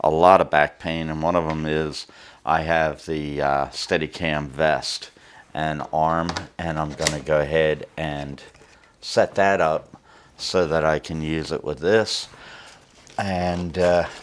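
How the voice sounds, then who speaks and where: A man's very deep, low pitch in a monotone, flat intonation at a very slow pace. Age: 60s. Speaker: camera reviewer. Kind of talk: unboxing review. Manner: halting, many fillers; casual.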